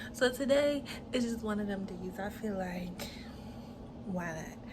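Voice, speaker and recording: A soft-spoken woman whispers in a room with audible echo and noticeable background noise. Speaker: lifestyle vlogger. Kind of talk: get-ready-with-me vlog. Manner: casual, chatty; soft, near whisper.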